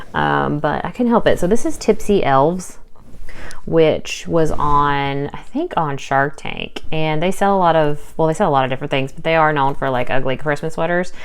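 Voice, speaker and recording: Amid noticeable background noise and audible room echo, a woman with a very deep, low pitch speaks at a moderate pace with ordinary pitch variation. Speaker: part-time online reseller, vlogger. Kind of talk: casual haul video talk. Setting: home recording while daughter sleeps. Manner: loud; chatty, filler-heavy.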